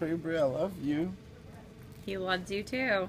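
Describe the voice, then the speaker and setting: Mumbling at a fairly slow pace, a man with a high pitch and ordinary pitch variation is heard over light background noise. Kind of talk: casual drowsy chat. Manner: drowsy mumbling after anesthesia. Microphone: phone near.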